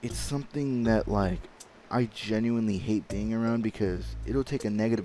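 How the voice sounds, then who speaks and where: A man with a fairly low pitch talks at a moderate pace and ordinary pitch variation, with music in the background. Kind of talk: casual talk while gaming. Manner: occasional stutter.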